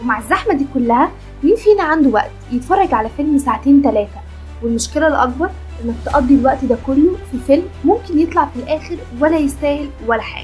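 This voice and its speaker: With music in the background, a woman with an Egyptian accent speaks at a fairly quick pace in a high pitch, her intonation lively. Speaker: film recap narrator. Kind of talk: channel promo narration. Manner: casual, conversational.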